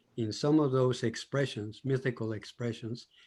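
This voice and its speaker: In a Colombian accent, a man speaks at a fairly high pitch with ordinary pitch variation. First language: Spanish. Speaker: audience participant. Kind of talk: discussion comment.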